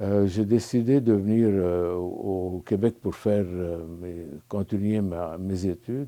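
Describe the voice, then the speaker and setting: A man with a Lebanese accent speaks at a very slow pace and fairly low pitch, in a dark, mellow tone with fairly even intonation, in a very clean recording with a silent background. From Lebanon. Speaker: spiritual retreat participant. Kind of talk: testimony. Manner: halting, many hesitations.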